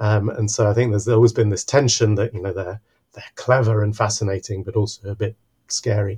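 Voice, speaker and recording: Somewhat breathy and fairly low-pitched, a man speaks at a fairly quick pace in a dark, mellow tone with monotone, flat intonation. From Mexico City, Mexico. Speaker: biology professor. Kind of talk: podcast interview.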